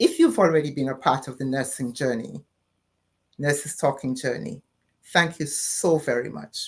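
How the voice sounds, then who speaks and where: The delivery holds a moderate pace, broken by long, frequent pauses. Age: 60s. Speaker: nurse and live show host. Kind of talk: live-stream talk to viewers. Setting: live stream on social media.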